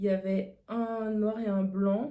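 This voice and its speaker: A woman speaks at a medium pitch. Her voice is somewhat breathy, with a dark, mellow tone. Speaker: beauty vlogger. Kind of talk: casual chat.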